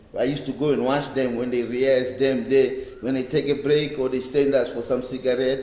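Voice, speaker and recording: Audible room echo surrounds a man speaking at a fairly quick pace with medium pitch. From South Africa, Cape Town townships. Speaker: reggae bass player. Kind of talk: oral history interview. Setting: library. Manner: halting, with repetitions.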